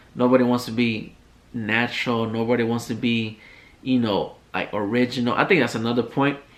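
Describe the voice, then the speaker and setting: A man speaks at a fairly quick pace. His intonation stays monotone and flat. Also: medium pitch for a man. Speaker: podcast host. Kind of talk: casual monologue rant.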